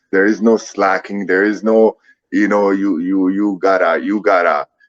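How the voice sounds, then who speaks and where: The speaker has a non-native accent. The sound is dry and close, with no echo. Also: man. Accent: foreign accent, noticeable. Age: 30s. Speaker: MMA fighter. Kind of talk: casual interview. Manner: repetitive, halting.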